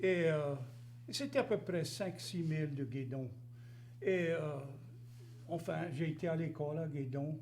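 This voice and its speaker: A man's somewhat breathy, fairly high voice at a very slow pace, with ordinary pitch variation, long, frequent pauses and audible room echo. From Louisiana, rural Cajun area near Gueydan. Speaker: interview guest. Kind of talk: casual interview.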